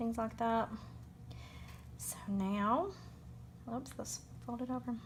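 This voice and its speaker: Very slowly, a woman talks with a Southern US accent. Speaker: crafting demonstrator. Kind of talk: unscripted crafting tutorial. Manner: casual, hesitant with many fillers.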